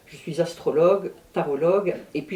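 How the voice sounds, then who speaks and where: This woman's voice has a dark, mellow tone. Her pitch is fairly low, with ordinary variation. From Brittany, France. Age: 60s. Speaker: astrologer and druidess. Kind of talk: interview.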